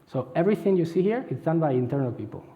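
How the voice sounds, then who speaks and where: Talking at a very fast pace with lively intonation, a man with a fairly high pitch is heard with audible room echo. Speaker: head of agile center of excellence. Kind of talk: conference talk.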